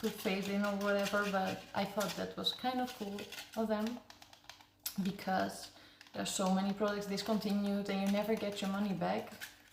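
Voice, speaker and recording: Over noticeable background noise, a woman speaks at a moderate pace with a medium pitch and monotone, flat intonation. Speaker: ASMR creator. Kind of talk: casual talk to camera, ASMR yapping about games.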